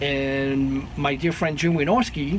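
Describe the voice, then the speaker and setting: A man talks at a moderate pace in a fairly high pitch. Noticeable background noise and audible room echo are present. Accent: French. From France. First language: French. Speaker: sound engineer. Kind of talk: interview.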